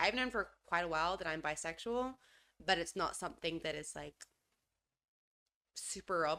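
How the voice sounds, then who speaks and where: A woman's fairly low, bright, sharp voice at a moderate pace, with ordinary pitch variation and long, frequent pauses. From Australia, Adelaide. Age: 20s. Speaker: podcast co-host. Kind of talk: casual chat.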